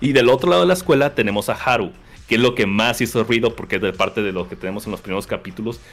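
A man in a central Mexican accent, medium in pitch, very fast, with lively intonation. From Mexico, Querétaro. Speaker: podcast guest, anime and manga fan. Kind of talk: casual chat.

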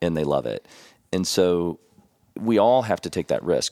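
In a Kentucky accent, a man with a very deep, low pitch and vocal fry talks at a moderate pace, the sound dry and close with no echo. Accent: Kentucky Southern US. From Kentucky (Elizabethtown). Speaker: financial advisor. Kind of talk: casual interview.

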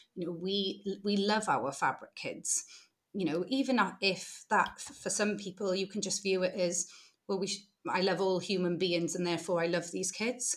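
A woman with a British accent speaks at a moderate pace and medium pitch with ordinary pitch variation, captured on a very clean recording with a silent background. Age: 30s. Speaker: social enterprise founder, former social worker. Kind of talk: casual interview.

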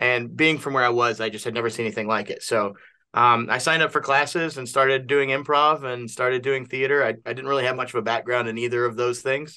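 Bright and sharp in tone, a man races along at a very fast pace with fairly even intonation and hardly any pauses. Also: medium pitch for a man. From Kentucky. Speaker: improv comedian. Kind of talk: casual interview. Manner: halting, many fillers.

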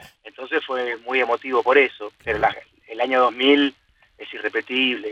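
Long, frequent pauses break up his speech. The man otherwise keeps a moderate pace. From Argentina, Buenos Aires area. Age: 40s. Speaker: sports journalist. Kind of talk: casual interview. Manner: halting.

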